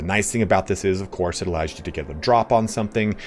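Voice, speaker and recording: Over music in the background, a man with an American accent speaks at a fairly low pitch with ordinary pitch variation. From US, Southern California. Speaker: gaming YouTuber. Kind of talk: tutorial. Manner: casual, conversational.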